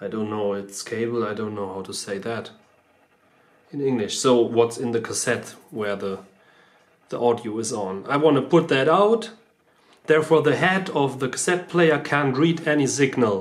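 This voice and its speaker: A man with a non-native accent at medium pitch, lively intonation and long, frequent pauses. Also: moderate pace. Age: 30s. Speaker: car DIY video maker. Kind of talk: tutorial. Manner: halting, many fillers.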